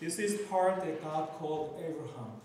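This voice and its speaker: Over light background noise and strong room echo, a man speaks with fairly even intonation. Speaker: conference speaker. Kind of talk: lecture. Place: hall.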